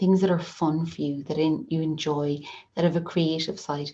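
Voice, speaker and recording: Speaking in an Irish accent, a woman has a very deep, low pitch and a dark, mellow tone. Her delivery is monotone at a moderate pace. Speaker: occupational therapist. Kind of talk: online webinar presentation. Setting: video call with screen sharing.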